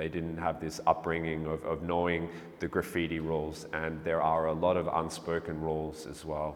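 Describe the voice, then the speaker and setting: Speaking in an Australian accent at a moderate pace, a man uses a very deep, low pitch and monotone, flat intonation. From Melbourne, Australia. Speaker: street artist. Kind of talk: interview monologue. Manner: halting, many fillers and repetitions.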